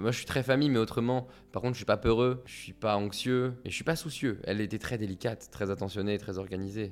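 A man with an unremarkable speaking voice, medium pitch and ordinary pitch variation talks at a fairly quick pace with hardly any pauses, on a very clean recording with a silent background. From Paris suburbs, France. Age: 20s. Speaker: author and songwriter. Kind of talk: personal testimony.

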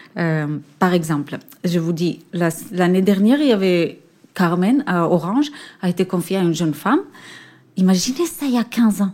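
With lively intonation and long, frequent pauses, a woman speaks at a moderate pace and medium pitch in a dark, mellow tone. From Israel. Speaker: orchestra conductor. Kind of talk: interview. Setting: theatre.

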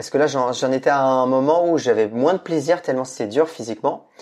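Moderately paced male speech in a plain, everyday voice, fairly high-pitched with ordinary pitch variation. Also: quiet background. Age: 40s. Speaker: entrepreneur and media founder. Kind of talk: casual interview. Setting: remote recording from home.

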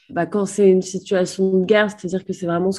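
Over a quiet background, a woman with a medium pitch and a dark, mellow tone talks with fairly even intonation. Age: 20s. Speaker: war photojournalist. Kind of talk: interview.

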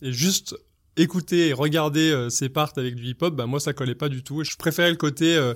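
A man's voice at a moderate pace with ordinary pitch variation, on a very clean recording with a silent background. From French Alps, Savoie. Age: 30s. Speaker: freestyle skier. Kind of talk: personal storytelling interview. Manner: hesitant with many fillers.

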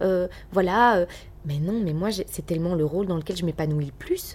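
A woman talks at a fairly quick pace in an energetic tone with ordinary pitch variation. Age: 30s. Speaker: radio and TV presenter. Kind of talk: casual interview.

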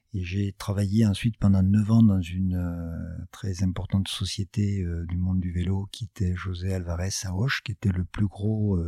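In a very clean recording with a silent background and a dry, close sound with no echo, a man speaks at a very deep, low pitch and a fairly slow pace. His tone is dark, mellow and somewhat breathy, with monotone, flat intonation. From southwest France (Gers). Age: 50s. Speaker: business founder. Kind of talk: interview. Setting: his office. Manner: halting, many fillers.

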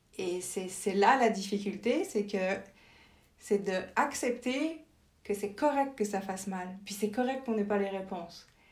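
A woman talks at a fairly slow pace and medium pitch, with ordinary pitch variation. Audible room echo surrounds her voice. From France. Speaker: journalist and communications professional. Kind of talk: interview conversation.

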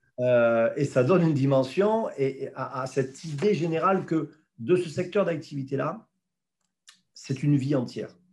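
The voice belongs to a man with fairly high pitch. It sounds somewhat breathy. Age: 50s. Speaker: president of a federation of elderly care home directors. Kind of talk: interview. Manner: halting, many repetitions.

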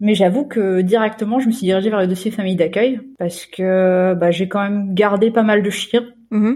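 A woman speaks at a moderate pace with fairly even intonation. Her tone is dark and mellow. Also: medium pitch for a woman. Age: 20s. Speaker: nanny and volunteer puppy raiser for guide dogs. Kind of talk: interview testimony.

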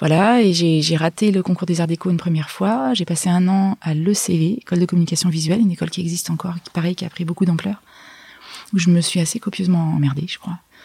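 Talking at a very fast pace, a woman keeps a fairly low pitch and fairly even intonation against noticeable background noise. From France, Hautes-Alpes (Gap). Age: 40s. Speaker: illustrator and author. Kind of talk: interview. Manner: halting, with many restarts.

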